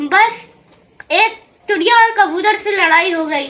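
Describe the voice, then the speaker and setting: In a put-on character voice, a woman speaks at a moderate pace with an extremely high pitch. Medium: read story.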